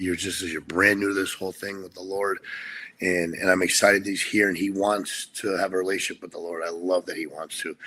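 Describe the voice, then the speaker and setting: With an American accent and a bright, sharp tone, a man of fairly low pitch speaks at a fairly quick pace with fairly even intonation, recorded very cleanly against a silent background. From Pennsylvania, rural. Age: 40s. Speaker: guest sharing recovery story. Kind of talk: personal testimony in interview.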